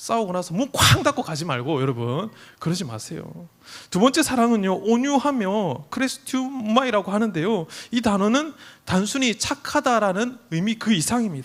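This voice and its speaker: High-pitched with very wide pitch swings, a man speaks at a moderate pace. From South Korea, Busan. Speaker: youth pastor. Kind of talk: sermon. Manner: conversational, addresses audience often.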